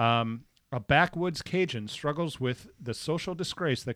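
A fairly high-pitched man speaks at a moderate pace with ordinary pitch variation, in an unremarkable speaking voice. The sound is dry and close with no echo, a very clean recording on a silent background. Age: 40s. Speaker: comedian. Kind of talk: casual chat.

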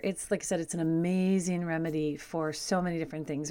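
Talking at a very fast pace, a woman speaks in a fairly low voice. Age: old. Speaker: radio show host, homeopathy educator. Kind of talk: casual talk show monologue. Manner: chatty, laughs often.

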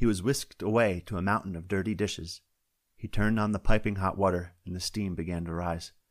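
Quiet background behind a natural reading voice

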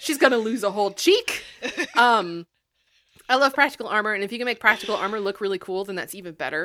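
In a very clean recording with a silent background, a woman with a fairly high pitch and a bright, sharp tone talks at a very fast pace with lively intonation, big swings in loudness, and long, frequent pauses. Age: 30s. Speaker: games podcast co-host. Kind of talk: casual chat.

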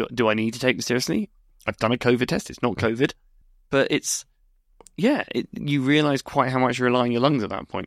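A man with a British accent talks at a fairly quick pace in a medium pitch with ordinary pitch variation, leaving long, frequent pauses. The recording is very clean with a silent background and a dry, close sound with no echo. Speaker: research scientist, co-host. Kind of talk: casual chat, radio show.

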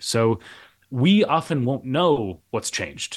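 Man with an American accent at a medium pitch, with very wide pitch swings and vocal fry. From Minnesota, US Midwest. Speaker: professor and author. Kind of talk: interview. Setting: hotel room.

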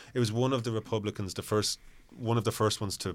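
A man speaks in an Irish accent. The recording is very clean, with a silent background. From Ireland. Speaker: film reviewer. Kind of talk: casual chat.

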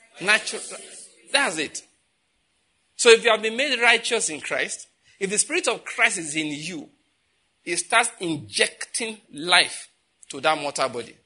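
A man with a high, bright, sharp voice projects it loudly at a fairly slow pace, with long, frequent pauses, very wide pitch swings and big swings in loudness. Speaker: preacher. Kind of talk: sermon. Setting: church. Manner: animated.

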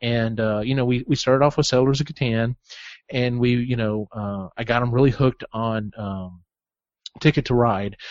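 Here a man speaks fairly quickly in an American accent. His voice is medium-pitched and unremarkable. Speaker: podcast host. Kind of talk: casual chat.

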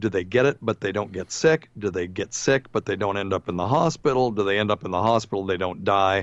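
A man's normal speaking voice, fairly low in pitch, at a fairly quick pace with hardly any pauses and ordinary pitch variation. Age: 60s. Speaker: physician and radio host. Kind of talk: casual chat. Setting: video call.

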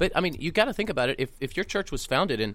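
A man speaks with very wide pitch swings. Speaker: pastor. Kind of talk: casual chat. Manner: verbose.

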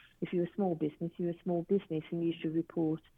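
Fairly low in pitch, a woman talks with a British accent. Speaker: business owner, forensic technology company. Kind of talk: casual interview.

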